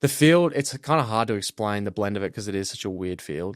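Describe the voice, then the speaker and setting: On a very clean recording with a silent background, a man with an Australian accent talks at a fairly quick pace and fairly low pitch. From Australia, Melbourne. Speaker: college football punter. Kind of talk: casual interview.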